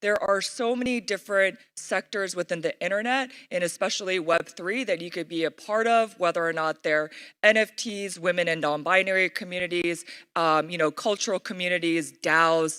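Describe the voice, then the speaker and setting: In a very clean recording with a silent background, a woman speaks at a medium pitch with ordinary variation and a bright, sharp tone. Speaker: conference speaker. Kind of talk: conference keynote talk. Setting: stage with audience. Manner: fast; animated.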